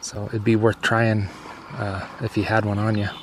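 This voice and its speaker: Noticeable background noise accompanies a man speaking. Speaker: fishing video host. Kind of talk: outdoor vlog narration. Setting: outdoors. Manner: casual, relaxed; soft-spoken.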